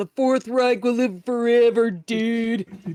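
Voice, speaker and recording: A put-on character voice with a fairly high pitch. It moves at a fairly slow pace with fairly even intonation. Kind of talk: dude-bro, casual. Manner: mocking.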